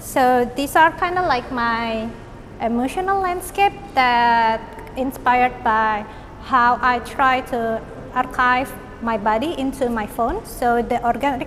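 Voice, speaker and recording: Over noticeable background noise, a woman with an Indonesian accent and high pitch speaks at a very slow pace with ordinary pitch variation. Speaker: artist and visual arts lecturer. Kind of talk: artist talk about own work.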